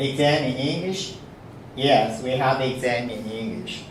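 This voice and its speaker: A man's medium-pitched voice with ordinary pitch variation, plus audible room echo and noticeable background noise. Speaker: university professor. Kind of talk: lecture. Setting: classroom. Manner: halting, frequent fillers.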